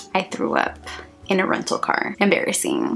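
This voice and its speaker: Noticeable background noise runs through the clip. A woman speaks at a fairly quick pace. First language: Spanish. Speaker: vlogger. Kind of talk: casual vlog monologue.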